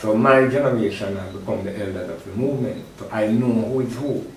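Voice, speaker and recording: A man talks at a medium pitch with ordinary pitch variation. Audible room echo and noticeable background noise fill the recording. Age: 60s. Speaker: Rastafari elder and event organizer. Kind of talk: interview.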